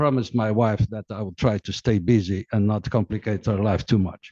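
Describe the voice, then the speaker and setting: Recorded with a dry, close sound and no echo, a man with a medium pitch speaks with a Portuguese accent. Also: quiet background. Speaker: diplomat and author. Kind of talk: book presentation talk. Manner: hesitant, many fillers.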